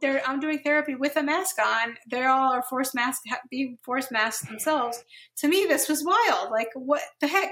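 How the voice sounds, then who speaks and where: Raising and projecting her voice, a woman with an American accent speaks at a moderate pace, her high pitch, bright, sharp tone and lively intonation standing out. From New Jersey. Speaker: therapist. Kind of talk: casual interview.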